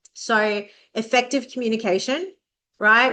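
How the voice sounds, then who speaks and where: A woman with an Australian accent has a bright, sharp tone. Her intonation is fairly even, over a quiet background. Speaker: vocational training consultant. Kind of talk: educational podcast monologue. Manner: fast; casual, conversational.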